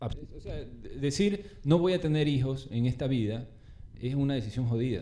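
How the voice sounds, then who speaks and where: This man's voice sits at a fairly high pitch, with ordinary pitch variation and a dark, mellow tone. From Ecuador, Guayaquil. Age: 40s. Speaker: urban artist. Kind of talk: casual chat. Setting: at his home.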